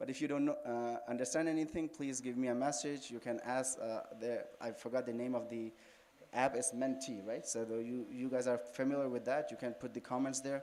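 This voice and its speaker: A man with a Pakistani accent at a fairly quick pace, medium in pitch with fairly even intonation, with audible room echo. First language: Urdu. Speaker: Shia cleric, religious speaker. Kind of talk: religious lecture. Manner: halting.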